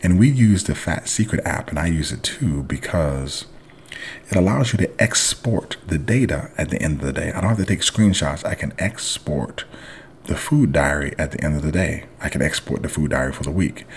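Moderate pace and lively intonation, over noticeable background noise. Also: man, very deep, low pitch for a man. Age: 40s. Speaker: judo coach and podcast host. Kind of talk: casual monologue podcast.

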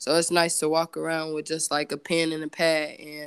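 In an American accent, a woman speaks with a fairly low pitch on a very clean recording with a silent background. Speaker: singer and photographer. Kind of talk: casual interview.

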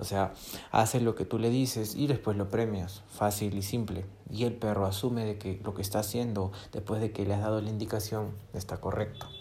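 Somewhat breathy and dark, mellow in tone, a man's fairly low voice moves at a moderate pace. His intonation stays monotone and flat, with audible room echo. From Peru. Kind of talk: motivational monologue.

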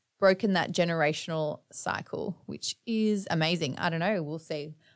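With an Australian accent, a woman speaks at a moderate pace in a fairly low pitch, her pitch varying in an ordinary way. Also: big swings in loudness. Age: 30s. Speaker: podcast host. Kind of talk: casual monologue. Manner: animated.

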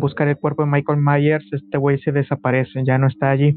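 A man with a Mexican accent, his pitch fairly high and his intonation monotone and flat. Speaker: film podcast guest. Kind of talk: casual chat.

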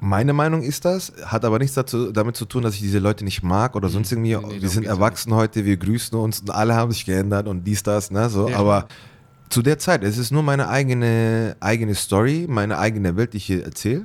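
A man's fairly low-pitched voice at a very fast pace, with ordinary pitch variation. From Bavarian Swabia, near Ulm (Germany). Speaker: artist. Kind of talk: interview.

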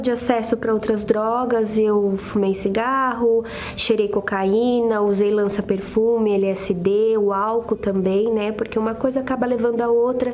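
A woman's fairly high voice at a fairly slow pace, monotone and flat, at very even loudness, with audible room echo and noticeable background noise. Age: 30s. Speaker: businesswoman giving testimony. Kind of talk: testimony.

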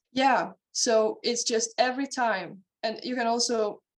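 A woman's fairly high-pitched voice in a Hungarian accent. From Hungary. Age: 20s. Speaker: horse trainer and mental coach. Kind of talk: interview.

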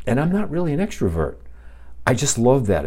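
A man speaks in a relaxed, dark, mellow tone that is somewhat breathy. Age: 60s. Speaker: podcast host. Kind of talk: casual solo monologue. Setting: home podcast setup, live. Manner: relaxed, with filler words.

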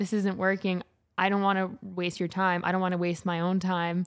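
Monotone, flat intonation comes with a Canadian accent. The recording is very clean, with a silent background. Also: woman. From Alberta, Canada (St. Albert). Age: 20s. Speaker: fashion and commercial model. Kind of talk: casual interview.

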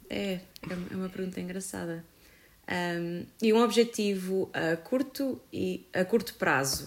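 A woman's medium-pitched voice, with ordinary pitch variation, proceeds at a very slow pace. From Portugal, Viseu. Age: 20s. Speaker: photographer and filmmaker. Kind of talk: casual chat.

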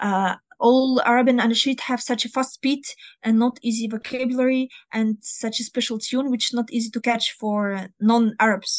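A woman with a Russian accent speaks at a high pitch and a moderate pace. Her intonation is fairly even, and the sound is dry and close with no echo. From northern Russia near Finland. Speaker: Arabic and Quran teacher. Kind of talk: interview. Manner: halting.

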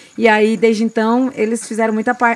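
A woman with a normal speaking voice and a fairly high pitch talks at a moderate speed. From Mato Grosso do Sul, Brazil. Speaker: singer. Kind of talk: interview conversation. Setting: recording with small audience.

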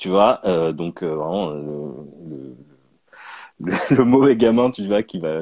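Lively in intonation, a man's voice has a dark, mellow tone and a dry, close sound with no echo. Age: 30s. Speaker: comic book author and illustrator. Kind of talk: interview. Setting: video call. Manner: halting.

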